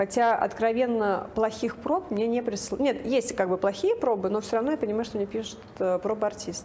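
A woman's voice with a dark, mellow tone, ordinary pitch variation and a moderate pace. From Russia, Nizhny Novgorod. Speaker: casting director. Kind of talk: interview.

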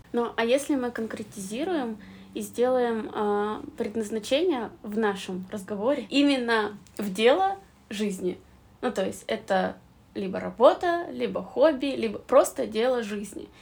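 A woman speaks at a fairly slow pace in a fairly high pitch. Her intonation is lively, and she has an unremarkable speaking voice. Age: 20s. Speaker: podcast host. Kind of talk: casual chat.

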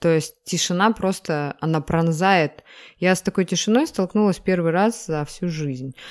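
At a fairly slow pace, a woman speaks with a fairly low pitch and ordinary pitch variation. The recording is very clean and the background silent. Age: 30s. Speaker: podcast co-host. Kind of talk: casual chat.

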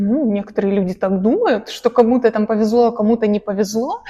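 The woman's fairly high voice carries ordinary pitch variation. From Russia, village. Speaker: painting studio owner. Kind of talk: casual interview.

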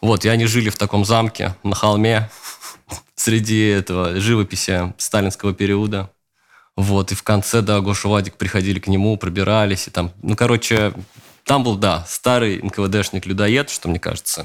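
The intonation stays monotone and flat in a very clean recording with a silent background. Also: man, fairly low pitch for a man, moderate pace. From Russia, Leningrad region (Luga). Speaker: screenwriter and showrunner. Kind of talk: interview.

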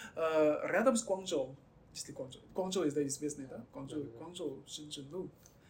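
This man has a fairly high pitch and ordinary pitch variation. He talks at a fairly slow pace. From mainland China. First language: Chinese (speaking Russian). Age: 20s. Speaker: guest from China, Russian-language graduate. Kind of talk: interview. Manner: halting.

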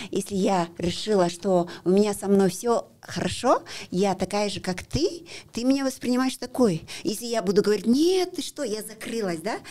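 With lively intonation and a dark, mellow tone, a woman talks at a moderate pace in a medium pitch. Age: 50s. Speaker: para-athlete. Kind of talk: interview. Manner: halting.

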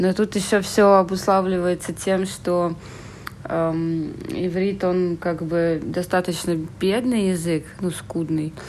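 Very slow female speech, fairly low in pitch with monotone, flat intonation, over noticeable background noise. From Saint Petersburg, Russia. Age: 30s. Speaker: emigrant. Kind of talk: casual chat.

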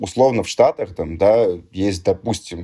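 Here a man talks rather slowly. The tone of his voice is dark and mellow. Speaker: musician and DJ. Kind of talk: casual chat. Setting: remote recording.

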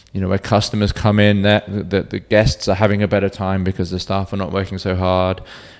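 A fairly low-pitched man at a moderate pace, with monotone, flat intonation. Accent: British. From Cornwall, England. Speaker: bartender. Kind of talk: casual chat.

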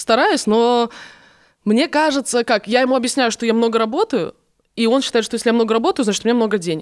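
A woman with a fairly high pitch, ordinary pitch variation and an animated tone, very fast pace broken by long, frequent pauses, very even loudness, dry, close sound with no echo, very clean recording with a silent background. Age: 20s. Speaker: TV presenter and blogger. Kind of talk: casual chat.

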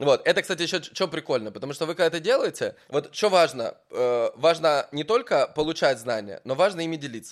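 In a very clean recording with a silent background, a man talks at a fairly quick pace with hardly any pauses. His fairly high voice has lively intonation and is an unremarkable speaking voice. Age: 30s. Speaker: podcast host. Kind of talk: casual interview. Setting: hotel in Dubai.

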